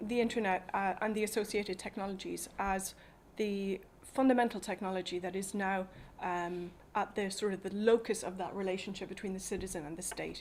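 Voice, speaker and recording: Speech comes in an Irish accent. It moves at a fairly quick pace. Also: woman. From Ireland. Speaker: policy advocate. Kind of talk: talk to an audience. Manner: hesitant, many fillers.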